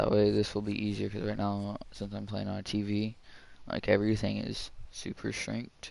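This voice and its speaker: This man is soft-spoken. His pace is moderate. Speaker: game streamer. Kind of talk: gameplay live stream chat. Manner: soft-spoken, quiet.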